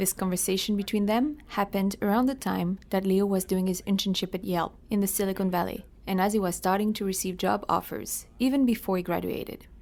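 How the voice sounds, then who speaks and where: A woman with a normal speaking voice talks at a fairly quick pace with hardly any pauses, at medium pitch and with fairly even intonation. Her loudness stays very even, and the recording is very clean with a silent background. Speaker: podcast host. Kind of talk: podcast narration.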